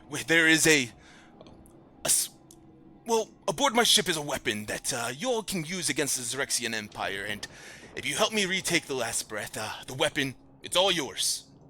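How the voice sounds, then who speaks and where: A man puts on a character voice, pitched fairly high, with a hissing sound. He talks at a moderate pace and leaves long, frequent pauses. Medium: actual play. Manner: hissing, imperious.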